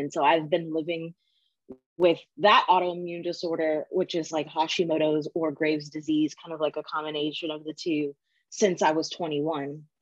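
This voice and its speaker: A woman with an unremarkable speaking voice and fairly low pitch talks at a moderate pace with fairly even intonation. The sound is dry and close, with no echo. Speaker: design educator. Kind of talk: interview.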